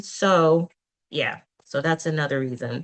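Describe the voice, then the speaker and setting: The voice carries an American accent and moves at a fairly slow pace. Its pitch varies in an ordinary way. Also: woman. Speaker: youth career program presenter. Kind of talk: presentation in virtual meeting. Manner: hesitant, many fillers.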